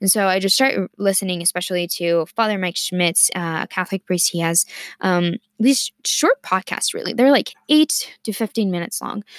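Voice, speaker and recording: In a very clean recording with a silent background and a dry, close sound with no echo, a woman speaks at a moderate pace and medium pitch with ordinary pitch variation. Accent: Spanish. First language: Spanish. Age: 20s. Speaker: student podcaster. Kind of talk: personal monologue. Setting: studio. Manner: halting, many fillers.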